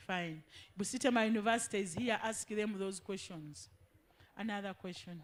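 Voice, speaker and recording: A woman talks at a moderate pace, medium in pitch, with ordinary pitch variation. It is an ordinary speaking voice. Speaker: education official. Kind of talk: public information session.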